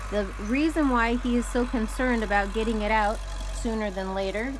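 A woman talks at a fairly quick pace, her pitch varying in an ordinary way, while noticeable background noise runs behind her. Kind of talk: casual narration. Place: open country. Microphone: phone near.

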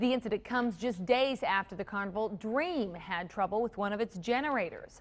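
A woman speaks at a moderate pace in a medium pitch. Her pitch varies in an ordinary way. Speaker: news anchor. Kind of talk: TV news reading. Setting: TV studio. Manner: formal, steady, polished newsreader delivery. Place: studio. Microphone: lapel.

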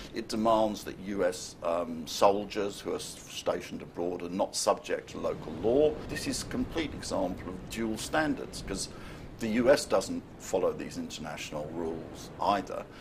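Hardly pausing, a man speaks with big swings in loudness. There is noticeable background noise. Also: moderate pace. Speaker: political commentator. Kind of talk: interview. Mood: critical, mildly indignant. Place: studio.

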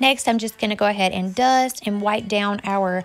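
Music plays behind a woman who talks at a moderate pace with fairly even intonation. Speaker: home vlogger. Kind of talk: casual vlog narration.

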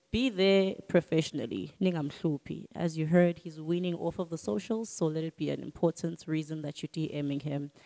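Set against a quiet background, a South African accent comes through in a dark, mellow tone with ordinary pitch variation and hardly any pauses. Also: woman, very deep, low pitch for a woman, moderate pace. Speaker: podcast host. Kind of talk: casual interview. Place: studio. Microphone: handheld.

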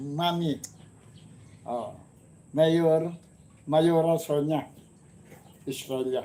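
Very slow speech from a man with a fairly high pitch and a dark, mellow tone. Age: 70s. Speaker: comedy channel host. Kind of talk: casual chat.

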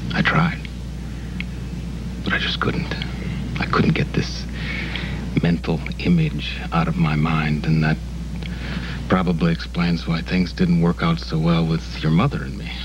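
A man speaks with a very deep, low pitch and ordinary pitch variation at a fairly slow pace. Long, frequent pauses break his speech over noticeable background noise. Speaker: soap opera actor. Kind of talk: scripted drama dialogue. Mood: earnest, confessional, soft.

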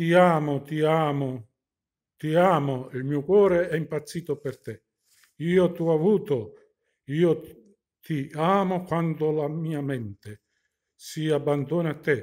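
A man speaks at a very slow pace with long, frequent pauses, his pitch fairly high and his pitch variation ordinary, over a quiet background. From southern Italy, Apulia (Terlizzi, Bari); Apulia. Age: 60s. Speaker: amateur poet. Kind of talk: reading aloud. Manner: halting. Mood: sentimental, romantic. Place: home room. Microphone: phone near.

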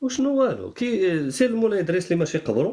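His tone is dark and mellow. The man speaks at a fairly quick pace. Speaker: Amazigh activist. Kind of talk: casual discussion.

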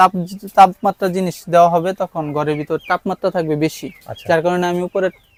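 A man speaks in a high pitch with monotone, flat intonation. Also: dry, close sound with no echo. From Bangladesh, Mymensingh. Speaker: shopkeeper and small poultry farmer. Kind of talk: interview answers.

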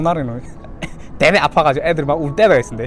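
A man at a very fast pace, with lively intonation and music in the background. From Korean-Chinese from Yanbian, China. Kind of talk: casual talk to camera.

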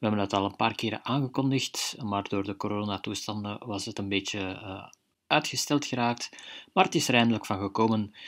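On a very clean recording with a silent background, a man with an ordinary speaking voice talks at a fairly quick pace, fairly low in pitch, with fairly even intonation. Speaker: radio presenter. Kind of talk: radio show announcement.

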